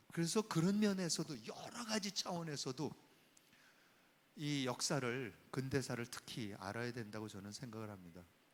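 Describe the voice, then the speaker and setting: An animated man at a medium pitch, with very wide pitch swings and big swings in loudness. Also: moderate pace. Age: 60s. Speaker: professor. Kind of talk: lecture.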